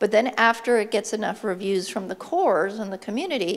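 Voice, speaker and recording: In a plain, everyday voice, a woman speaks at a moderate pace. Her pitch is fairly high, with ordinary pitch variation. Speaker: conference speaker. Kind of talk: conference talk.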